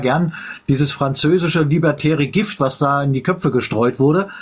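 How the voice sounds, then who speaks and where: A man talks in an unremarkable speaking voice. His pitch variation is ordinary. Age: 50s. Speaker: live stream host. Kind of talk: casual chat. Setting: live stream.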